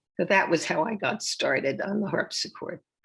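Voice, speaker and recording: Here a woman talks at a moderate pace. Her voice is somewhat breathy. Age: 80s+. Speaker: harpsichordist. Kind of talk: interview. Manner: halting.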